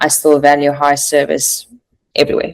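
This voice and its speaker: A woman with a South African accent at a fairly quick pace. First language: Afrikaans. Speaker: recruiter, former private chef. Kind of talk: podcast interview.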